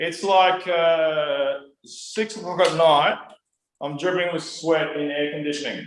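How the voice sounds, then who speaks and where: Speaking at a fairly slow pace with an Australian accent, a man uses a fairly high pitch and fairly even intonation, with audible room echo in the recording. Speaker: musician and music teacher. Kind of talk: interview. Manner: loud.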